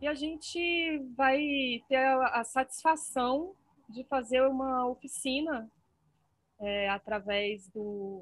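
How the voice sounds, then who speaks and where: Her voice sits at a high pitch. This woman's pitch swings very widely. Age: 40s. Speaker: podcast host. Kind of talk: interview.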